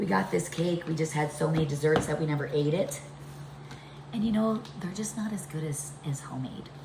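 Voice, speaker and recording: With audible room echo and noticeable background noise, a woman speaks at a fairly quick pace. Her very deep, low voice has lively intonation. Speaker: home cooking vlogger. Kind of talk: cooking tutorial. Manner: casual, chatty.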